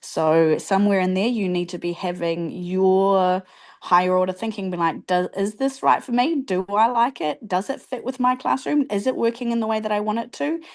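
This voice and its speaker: A woman's medium-pitched voice in a New Zealand accent, with lively intonation. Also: moderate pace, hardly any pauses, quiet background. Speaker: teacher. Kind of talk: casual chat.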